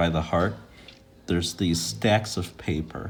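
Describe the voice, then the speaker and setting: Very deep and low, a man's voice carries vocal fry and lively intonation at a fairly slow pace. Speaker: art teacher. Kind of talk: tutorial.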